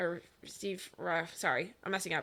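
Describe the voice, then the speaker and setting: A loud woman's voice, medium in pitch, bright and sharp, at a fairly quick pace. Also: very clean recording, silent background. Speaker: podcast co-host. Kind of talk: casual chat.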